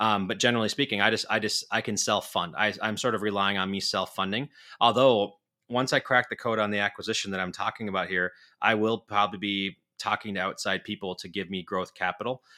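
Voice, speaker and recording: Speaking very fast, a man with a fairly low pitch and a bright, sharp tone keeps his intonation fairly even on a very clean recording with a silent background. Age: 40s. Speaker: podcast co-host. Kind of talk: casual chat.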